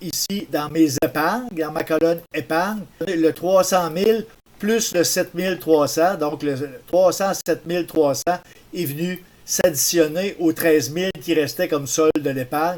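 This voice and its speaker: This man speaks at a high pitch with ordinary pitch variation. His pace is fairly slow. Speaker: tutorial maker. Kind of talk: tutorial.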